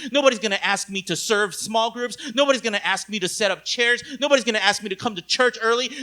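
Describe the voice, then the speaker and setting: A man's high-pitched, raised and projected voice, bright and sharp in tone, animated and intense at a very fast pace. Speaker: pastor. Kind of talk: sermon. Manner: intense, sounds angry.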